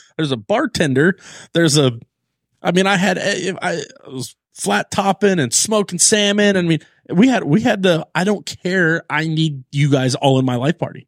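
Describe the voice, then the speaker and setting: With an American accent, a man talks at a moderate pace in a high pitch and lively intonation, in a dry, close sound with no echo. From Southern California, Long Beach. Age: 30s. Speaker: IndyCar race strategist. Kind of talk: casual chat. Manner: animated.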